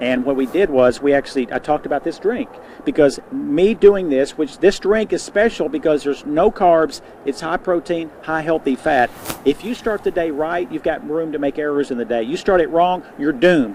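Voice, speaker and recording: There is noticeable background noise. A man with a fairly high pitch speaks with lively intonation. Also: moderate pace. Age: 60s. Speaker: nutrition store owner. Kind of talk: TV interview.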